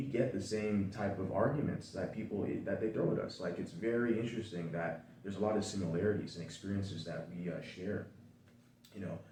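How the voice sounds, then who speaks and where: Over noticeable background noise and audible room echo, a man talks at a fairly quick pace with an American accent. His fairly low pitch shows ordinary variation. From United States. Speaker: content creator. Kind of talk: casual chat.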